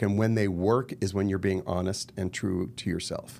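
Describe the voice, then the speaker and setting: Fairly even intonation in a man's fairly low-pitched voice. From Los Angeles, US. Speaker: actor and murder mystery entrepreneur. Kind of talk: podcast interview.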